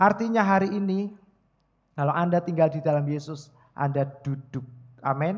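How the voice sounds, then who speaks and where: Against a quiet background, a man with a high voice talks at a moderate pace with ordinary pitch variation. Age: 40s. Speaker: pastor. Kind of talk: sermon. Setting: church. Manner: animated.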